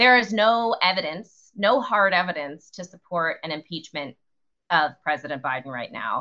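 In an ordinary speaking voice, a woman talks at a fairly low pitch and moderate pace with lively intonation. Her loudness rises and falls in big swings. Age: 30s. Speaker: journalist and podcast host. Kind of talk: casual chat.

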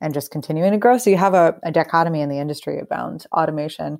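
In a very clean recording with a silent background, a woman with an American accent talks at a very fast pace and a fairly low pitch. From US Northeast, New York suburbs near Yonkers. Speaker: agtech startup founder and CEO. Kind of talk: interview.

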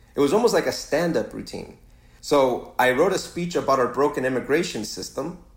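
This man has a plain, everyday voice, fairly high in pitch. His intonation is lively and his pace moderate. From Ecuador, raised in Los Angeles from age 7. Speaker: screenwriter and author. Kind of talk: interview conversation.

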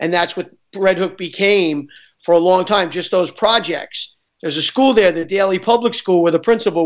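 Against a quiet background, a man with a New York accent talks at a fairly quick pace in a high pitch, with fairly even intonation. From New York, Queens. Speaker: film director. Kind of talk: interview. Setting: studio.

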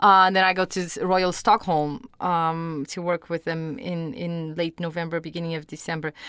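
A woman with a Portuguese accent and fairly low pitch, fairly even intonation, a moderate pace and hardly any pauses, on a very clean recording with a silent background. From Portugal, Lisbon. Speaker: orchestra conductor. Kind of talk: interview. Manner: hesitant, many fillers.

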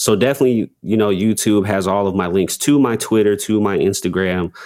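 In a very clean recording against a silent background, an unremarkable speaking voice goes along at a fairly quick clip. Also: man. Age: 20s. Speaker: rapper and spoken word poet. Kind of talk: casual interview.

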